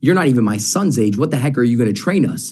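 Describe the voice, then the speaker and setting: Talking very fast with lively intonation, a man is heard with audible room echo. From Canada. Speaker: sales trainer. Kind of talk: interview.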